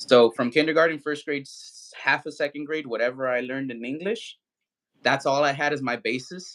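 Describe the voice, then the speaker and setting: A man's bright, sharp voice at a fairly quick pace. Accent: American. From US (raised), born in Mexico. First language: Spanish. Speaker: livestream host. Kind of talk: casual chat. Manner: casual, halting with fillers.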